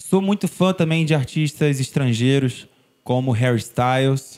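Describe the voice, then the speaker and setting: A man speaking at a fairly slow pace. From Brazil, Niterói, Rio de Janeiro; Rio de Janeiro, Brazil. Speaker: singer-songwriter; guest. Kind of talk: casual interview chat. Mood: warm, reflective. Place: studio. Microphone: studio mic.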